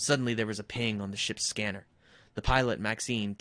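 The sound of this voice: The speaker uses an unforced reading voice with fairly even intonation.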